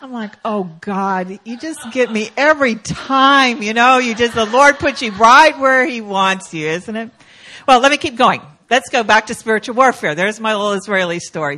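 Using an unremarkable speaking voice, a woman talks at a moderate pace and fairly high pitch, with lively intonation and big swings in loudness. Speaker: guest preacher. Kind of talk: sermon. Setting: church.

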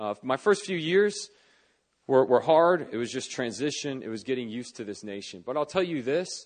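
Against a quiet background, a man with a medium pitch speaks in very wide pitch swings. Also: moderate pace, big swings in loudness. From US, Northern Virginia. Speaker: pastor. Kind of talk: sermon. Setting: church service. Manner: conversational, relaxed.

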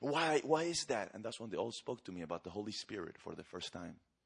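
A man with a Spanish accent, very fast and animated. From Argentina. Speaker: evangelist. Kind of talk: sermon. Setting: church.

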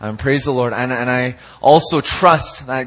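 A man with a Canadian accent and medium pitch speaks in an animated tone. His pace is moderate. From Canada (Vancouver). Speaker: youth pastor. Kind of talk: sermon. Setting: church.

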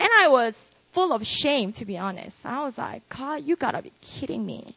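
A woman speaks with a Korean accent at a fairly slow pace. Her pitch swings very widely. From South Korea. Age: 20s. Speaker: pastor. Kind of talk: sermon. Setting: live audience at worship service. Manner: animated.

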